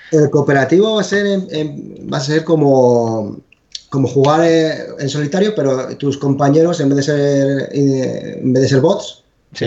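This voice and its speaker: A man talks in an ordinary speaking voice. His pitch is fairly high, with ordinary pitch variation. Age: 40s. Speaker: video game developer. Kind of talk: casual chat.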